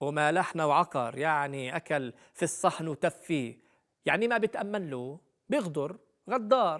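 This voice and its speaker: A man with a Palestinian accent speaks at a fairly slow pace. His fairly high pitch carries lively intonation. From Palestine. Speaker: storyteller. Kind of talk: explaining Palestinian sayings.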